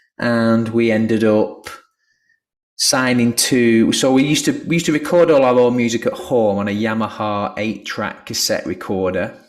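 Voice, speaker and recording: A man with a medium-pitched voice at a moderate pace. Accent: Lancashire. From northern England, Lancashire. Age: 40s. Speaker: musician. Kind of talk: video call presentation.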